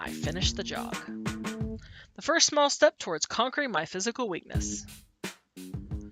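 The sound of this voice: Heard here is an unforced reading voice.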